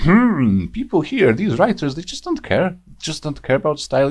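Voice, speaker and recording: A man speaks with a non-native accent. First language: Polish. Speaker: YouTube reviewer. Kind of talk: rant review. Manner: hesitant, frequent fillers.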